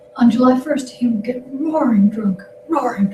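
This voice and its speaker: A woman speaks at a fairly slow pace with ordinary pitch variation. Background noise is noticeable. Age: 60s. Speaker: historian, guest speaker. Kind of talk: lecture Q&A discussion.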